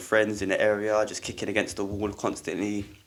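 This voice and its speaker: Speaking at a fairly quick pace, a man with a London accent has a fairly low pitch. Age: 20s. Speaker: football coach. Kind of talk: podcast interview. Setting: studio.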